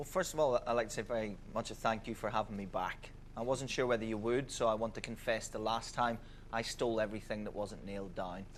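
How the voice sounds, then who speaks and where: Fairly even intonation marks a man's speech at medium pitch with a Belfast accent. He talks at a very fast pace. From Northern Ireland, Belfast. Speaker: radio DJ and broadcaster. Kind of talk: casual anecdote on a game show.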